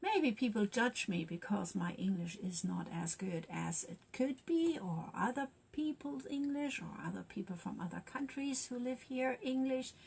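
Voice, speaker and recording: A woman with a German accent speaks at a moderate pace. Her fairly high voice moves through very wide pitch swings. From Germany. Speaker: youth worker and wellbeing livestreamer. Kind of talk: casual livestream talk. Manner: halting.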